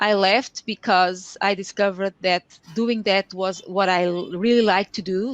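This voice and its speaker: This woman has a Portuguese accent and a medium pitch, speaking at a moderate pace with monotone, flat intonation in a dry, close sound with no echo. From Portugal. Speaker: Excel consultant and trainer. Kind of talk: lecture. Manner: halting.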